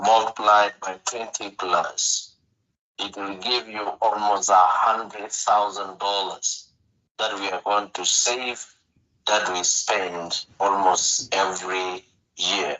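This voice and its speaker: In a non-native accent, a man talks at a very slow pace. His fairly low voice stays monotone, with flat intonation. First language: not English. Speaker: orphanage director. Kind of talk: interview. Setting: radio show. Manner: halting.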